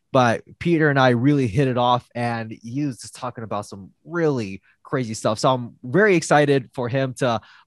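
At a moderate pace, a man with a normal speaking voice talks at medium pitch with ordinary pitch variation, recorded very cleanly against a silent background with dry, close sound and no echo. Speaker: podcast host. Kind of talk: casual interview.

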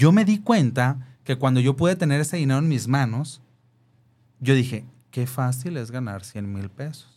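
Lively intonation carries a somewhat breathy voice with a dark, mellow tone, captured in a very clean recording with a silent background. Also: man, medium pitch for a man, moderate pace. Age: 30s. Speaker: content creator and event host. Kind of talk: interview.

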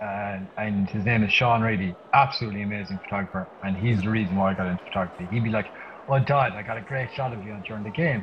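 Over noticeable background noise, a man with an Irish accent and a fairly low pitch talks at a very fast pace. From Ireland. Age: 30s. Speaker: wedding photographer. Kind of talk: casual chat. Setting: video call. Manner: animated.

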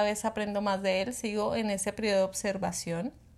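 Speaking in a fairly high pitch, a woman keeps up a fairly quick pace. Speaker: podcast co-host. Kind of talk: casual chat.

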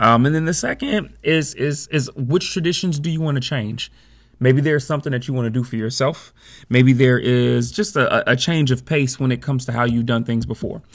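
A man talks at a fairly quick pace with a medium pitch and ordinary pitch variation, his voice somewhat breathy. The recording is very clean, the background silent. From Chicago, US Midwest. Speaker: podcast host. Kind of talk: solo podcast monologue.

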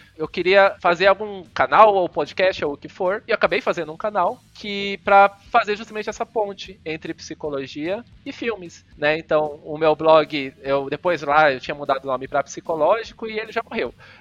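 Over music in the background, a man with a high pitch talks at a moderate pace with hardly any pauses. The sound is dry and close with no echo, showing ordinary pitch variation and big swings in loudness. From Cuiabá, Mato Grosso, Brazil. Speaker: psychologist and lecturer. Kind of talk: casual interview chat. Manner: halting, many fillers.

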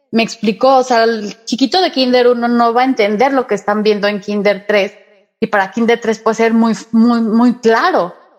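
A woman's normal speaking voice, fairly high in pitch, with ordinary pitch variation, a moderate pace and very even loudness. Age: 40s. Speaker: Reiki and angel therapist. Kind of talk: interview.

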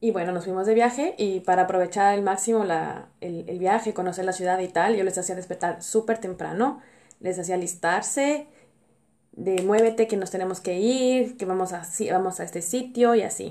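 At a moderate pace, a woman talks at medium pitch with a dark, mellow tone. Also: ordinary pitch variation. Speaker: podcast host. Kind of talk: personal monologue.

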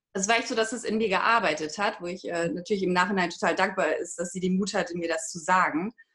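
At a very fast pace, a woman talks with hardly any pauses. Her pitch is medium, with ordinary pitch variation. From northern Germany, Hamburg. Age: 30s. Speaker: online course participant. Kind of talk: interview testimony. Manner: halting, many filler sounds.

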